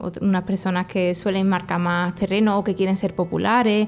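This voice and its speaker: A woman with an ordinary speaking voice talks at a medium pitch and a moderate pace. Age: 20s. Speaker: teacher and anti-bullying advocate. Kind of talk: testimony.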